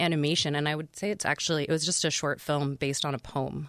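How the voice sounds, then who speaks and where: In an American accent, a woman with a very deep, low voice talks very fast in a dry, close recording with no echo. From New York. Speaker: film producer and film festival director. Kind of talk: casual interview chat. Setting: studio.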